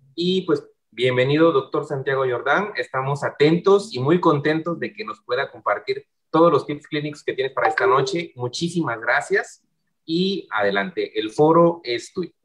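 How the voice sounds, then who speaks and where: This man has a high-pitched voice. The background is quiet. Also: lively intonation, moderate pace. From Oaxaca, Mexico. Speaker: online session co-host. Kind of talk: moderating online session. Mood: warm, welcoming. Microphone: video call.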